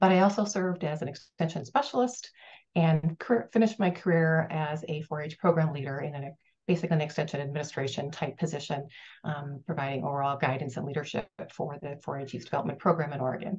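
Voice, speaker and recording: A woman with an American accent, very deep and low-pitched, somewhat breathy, with ordinary pitch variation, at a very fast pace against a quiet background. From US Midwest, Minnesota. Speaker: retired extension professor, consultant. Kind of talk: self-introduction. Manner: hesitant, many fillers.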